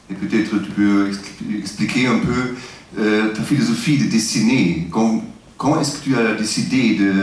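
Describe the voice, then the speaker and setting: Amid noticeable background noise and audible room echo, a man with a non-native accent speaks at a fairly slow pace, with a medium pitch and ordinary pitch variation. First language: not French (speaking French). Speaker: interviewer. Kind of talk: interview. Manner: halting, many hesitations.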